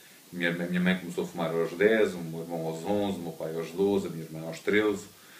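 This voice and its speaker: In a room with audible echo, a man speaks very fast in a very deep, low pitch with monotone, flat intonation. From Mozambique, then Portugal from 1974. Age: 40s. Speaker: cancer patient and entrepreneur. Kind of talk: conference talk, personal testimony. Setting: conference hall with audience. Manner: hesitant, many fillers.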